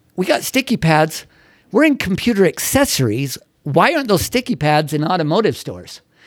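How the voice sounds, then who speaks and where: A man speaks at a fairly quick pace in an energetic, animated tone, with a high pitch and very wide pitch swings. The recording is very clean, with a silent background. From Utah, US. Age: 60s. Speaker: entrepreneur and university teacher. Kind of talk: casual interview storytelling. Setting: studio.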